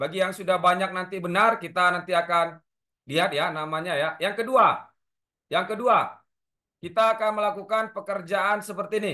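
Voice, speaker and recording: A man speaks in a raised, projected voice with a bright, sharp tone, high pitch and fairly even intonation at a moderate pace against a quiet background. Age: 30s. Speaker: safety instructor. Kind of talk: lecture. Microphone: video call.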